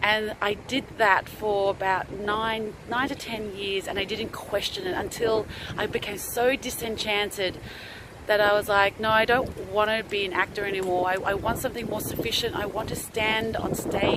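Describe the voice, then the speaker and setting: Noticeable background noise sits behind a woman speaking at a fairly high pitch with fairly even intonation. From Australia. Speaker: stand-up comedian and actor. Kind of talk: casual talk to camera.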